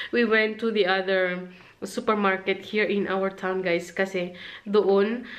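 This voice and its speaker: A woman's monotone, flat delivery at a fairly slow pace. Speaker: vlogger. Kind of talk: casual vlog chat. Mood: relaxed, laughing at times. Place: home room. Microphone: phone near.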